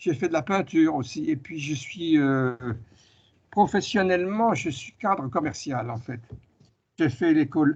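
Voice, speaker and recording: A man talks at a very slow pace, his pitch fairly high. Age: 80s+. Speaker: retired author and UFO researcher. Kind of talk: interview.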